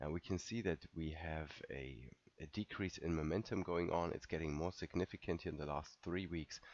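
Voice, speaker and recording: At a moderate pace, a man talks in a very deep, low voice with vocal fry and fairly even intonation. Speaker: market analyst. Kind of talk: market recap. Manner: casual, with fillers.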